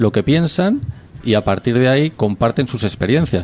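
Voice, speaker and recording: A man with a plain, everyday voice talks at a medium pitch and moderate pace, using lively intonation. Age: 30s. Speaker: business club member. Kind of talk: radio interview.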